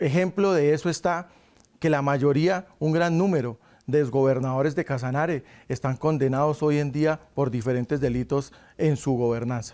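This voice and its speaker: Over a quiet background, a man talks at a moderate pace with very even loudness and ordinary pitch variation. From Sogamoso, Boyacá, Colombia. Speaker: university delegate. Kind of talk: interview. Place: studio. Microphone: lapel.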